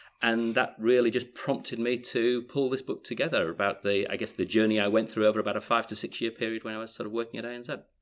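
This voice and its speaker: With a strong Yorkshire accent, a man at medium pitch talks at a very fast pace with hardly any pauses and monotone, flat intonation, on a very clean recording with a silent background. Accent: Yorkshire accent, still strong. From Yorkshire, northern England. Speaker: author and business advisor. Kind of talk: interview.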